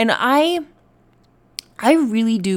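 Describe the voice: On a very clean recording with a silent background, a woman speaks at a very slow pace in a raspy voice with a slightly mellow tone and big pitch swings.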